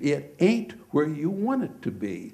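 Very slowly, a man with a fairly high pitch talks in a dark, mellow tone with vocal fry, and the room echo is audible. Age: 70s. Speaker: petroleum geologist. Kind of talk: lecture. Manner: informal.

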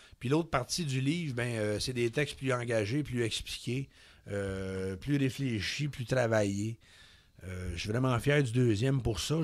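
The background stays quiet as a man talks. His pace is fairly slow, with ordinary pitch variation. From Quebec, Laurentians countryside; Quebec. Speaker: poet and public speaker; poet, public speaker. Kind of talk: radio interview. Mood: calm, reflective, candid. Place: studio. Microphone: studio mic.

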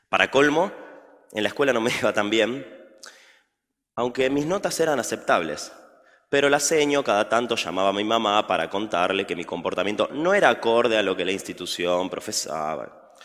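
A man's pitch swings very widely as he talks at a moderate pace over a quiet background. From Argentina. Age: 20s. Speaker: chess teacher; speaker. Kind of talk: public talk. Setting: stage with audience. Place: stage.

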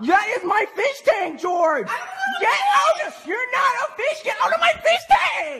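The speaker uses a put-on character voice at an extremely high pitch, moving at a fairly slow pace with hardly any pauses. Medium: voice reel. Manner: yelling, outraged.

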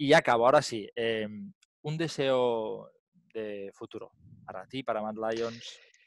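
Over a quiet background and with a dry sound lacking echo, a man at a medium pitch speaks at a fairly slow pace, using ordinary pitch variation, big swings in loudness and long, frequent pauses. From Spain. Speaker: podcast host. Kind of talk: casual chat. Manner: animated. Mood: friendly, animated. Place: home room. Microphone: headset.

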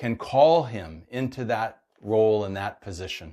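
Against a quiet background, a man is heard. He speaks at a fairly slow pace. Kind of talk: sermon. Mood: warm, upbeat, earnest. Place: home room. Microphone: lapel.

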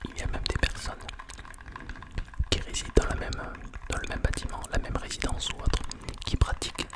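A soft-spoken man whispering at a very fast pace. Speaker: ASMR creator. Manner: close, soft ASMR whisper. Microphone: studio mic.

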